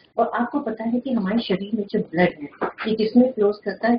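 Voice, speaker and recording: There is light background noise. A woman speaks at a moderate pace, sounding somewhat breathy. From India. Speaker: school lecturer. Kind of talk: lecture. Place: office. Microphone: webcam.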